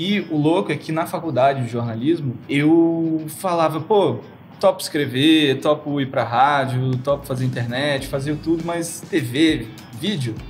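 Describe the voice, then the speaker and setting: With music playing in the background, a man talks at a fairly slow pace in a fairly high pitch with ordinary pitch variation. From Brazil, Brasília. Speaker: music journalist and TV presenter. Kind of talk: casual interview chat.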